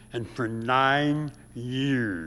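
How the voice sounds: A man's nasal voice in an American accent, bright and sharp in tone, with lively intonation. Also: medium pitch for a man, very slow pace.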